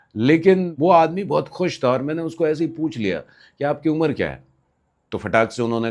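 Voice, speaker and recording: Against a quiet background, a man's voice shows very wide pitch swings. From Bihar, India. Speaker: vlogger storyteller. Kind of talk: anecdotal storytelling. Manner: casual, with hesitations.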